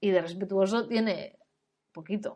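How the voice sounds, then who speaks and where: The woman's tone is animated. Her pace is moderate. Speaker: parenting and education coach. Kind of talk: educational webinar talk. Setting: online webinar. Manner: animated, informal.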